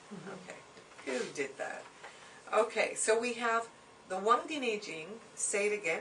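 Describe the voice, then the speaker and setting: Amid noticeable background noise and audible room echo, a woman speaks fairly slowly at a fairly high pitch, with very wide pitch swings, big swings in loudness, and long, frequent pauses. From Hungary. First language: Hungarian. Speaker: Chinese medicine teacher. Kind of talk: lecture. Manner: conversational with many fillers.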